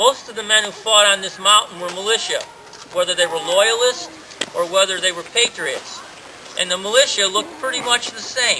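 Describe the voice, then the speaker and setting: A man talks in a raised, projected voice at a high pitch for a man, moving at a fairly quick pace over noticeable background noise. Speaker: sociology teacher and historical reenactor. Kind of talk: historical presentation to a crowd. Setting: outdoors.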